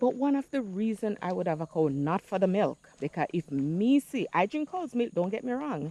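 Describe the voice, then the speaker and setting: In a Jamaican accent, a woman speaks at a fairly slow pace with very wide pitch swings, the sound dry and close with no echo. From Jamaica, St. Andrew. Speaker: vlogger. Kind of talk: casual vlog monologue, Jamaican patois.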